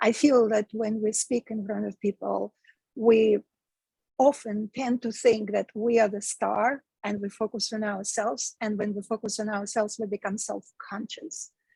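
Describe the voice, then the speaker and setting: A woman with a Russian accent speaks in a fairly high, somewhat breathy voice with a dark, mellow tone, recorded with a dry, close sound and no echo. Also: fairly even intonation, moderate pace. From Russia (Moscow). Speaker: meditation teacher and speaking coach. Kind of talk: podcast interview. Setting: live stream.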